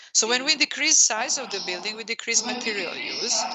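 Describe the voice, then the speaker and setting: A woman speaks with a Serbian accent. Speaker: professor. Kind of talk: lecture. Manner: slow.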